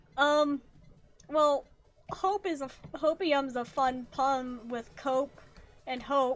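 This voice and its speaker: Over music in the background, a woman with a high pitch speaks at a very slow pace, leaving long, frequent pauses, her intonation fairly even. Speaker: VTuber streamer and artist. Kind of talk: gaming livestream chat. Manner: halting, stumbling.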